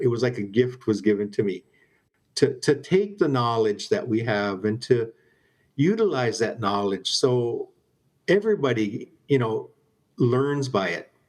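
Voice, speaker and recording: Lively intonation marks this man's speech. He keeps a medium pitch and a moderate pace. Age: 60s. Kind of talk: interview. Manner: halting.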